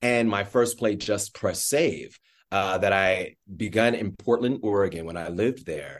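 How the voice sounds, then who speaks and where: A man has an ordinary speaking voice, fairly low in pitch with ordinary pitch variation. He talks at a fairly slow pace against a quiet background. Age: middle-aged. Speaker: stage actor, playwright and director. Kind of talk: interview conversation.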